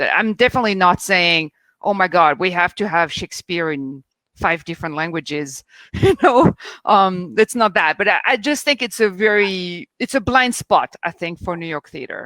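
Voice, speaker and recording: Speaking at a moderate pace, a woman has a French accent, a medium pitch and a bright, sharp tone. Her intonation is lively, and the recording is very clean over a silent background, dry and close with no echo. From France. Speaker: theatre critic. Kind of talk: panel discussion.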